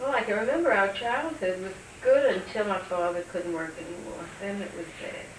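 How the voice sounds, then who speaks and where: A woman's voice with lively intonation at a moderate pace, big swings in loudness, audible room echo and noticeable background noise. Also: medium pitch for a woman. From New York City, Brooklyn. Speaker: interviewee sharing family memories. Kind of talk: oral history interview.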